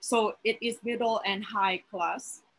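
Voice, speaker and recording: A woman's bright, sharp voice at a very slow pace, with a strong Filipino accent. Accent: heavy Filipino. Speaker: teacher and graduate student. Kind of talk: panel discussion. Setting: video call. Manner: halting.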